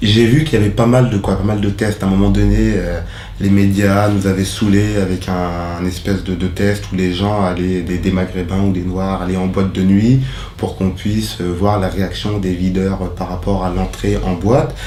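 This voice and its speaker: Amid noticeable background noise and audible room echo, a man speaks in a very deep, low pitch with fairly even intonation. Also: moderate pace. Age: 30s. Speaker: social mediator. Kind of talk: interview testimony. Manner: hesitant, many fillers.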